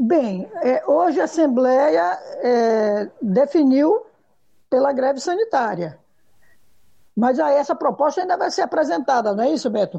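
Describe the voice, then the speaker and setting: With a high, dark, mellow voice, a woman talks at a fairly slow pace with long, frequent pauses. Her pitch swings very widely while her loudness stays very even. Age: 50s. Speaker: schoolteacher. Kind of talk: panel discussion.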